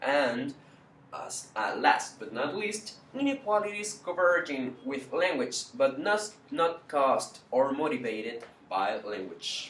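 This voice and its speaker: A man with a Spanish accent and a high pitch, speaking at a very slow pace with very wide pitch swings and big swings in loudness, over noticeable background noise. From Chile. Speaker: university student. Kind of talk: class presentation. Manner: halting.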